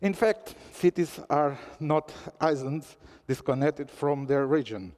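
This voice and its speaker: A man with a Portuguese accent speaks fairly slowly at a fairly high pitch, his intonation lively. The sound is dry and close, without echo. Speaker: newspaper representative speaking at a forum. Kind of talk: conference speech. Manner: formal.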